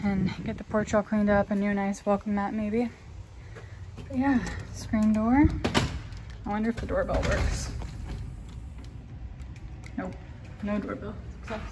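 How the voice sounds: With a dark, mellow tone at a medium pitch, a woman talks at a fairly slow pace in fairly even intonation, leaving long, frequent pauses amid audible room echo.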